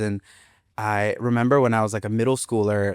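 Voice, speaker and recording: In a very clean recording with a silent background, a man speaks at a moderate pace and medium pitch. His pitch varies in an ordinary way, and the sound is dry and close with no echo. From US, Boston and Florida. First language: Spanish. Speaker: school administrator. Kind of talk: interview conversation. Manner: casual, many fillers and repetitions.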